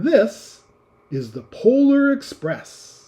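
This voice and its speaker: The voice belongs to a man putting on a character. He pitches it extremely high. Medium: read story. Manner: brisk, authoritative.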